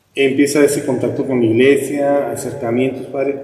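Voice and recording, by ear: A man speaks at a moderate pace in a dark, mellow tone with little pitch movement. Strong room echo surrounds the voice. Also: medium pitch for a man.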